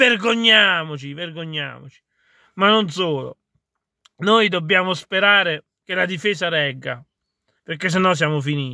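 A man with a high voice and a bright, sharp tone talks at a fairly slow pace with long, frequent pauses, his pitch varying in an ordinary way over a quiet background. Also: dry sound with no echo. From Italy. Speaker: video blogger and football commentator. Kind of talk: angry football rant, vented directly at the camera. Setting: solo video address to camera. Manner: fiery, exasperated, blunt and swearing. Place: car. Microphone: phone near.

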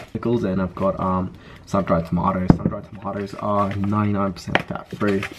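Vocal fry at a moderate pace. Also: man.

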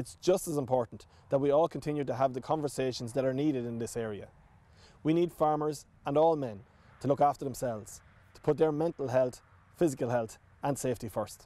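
Ordinary pitch variation and a dark, mellow tone come from a man at a fairly quick pace. The sound is dry with no echo. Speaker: government minister. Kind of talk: formal address to camera. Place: open country. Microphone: lapel.

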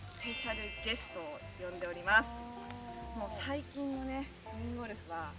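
Over clear music in the background, a woman speaks at a fairly quick pace with long, frequent pauses. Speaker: golf video host. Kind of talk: casual talk during a golf round. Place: open country.

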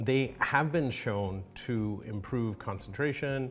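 A man with faint music in the background. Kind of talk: lecture. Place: home room.

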